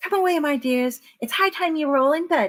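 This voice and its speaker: A woman puts on a high-pitched character voice that sounds shaky. She talks at a fairly quick pace with lively intonation. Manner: fussy, fearful.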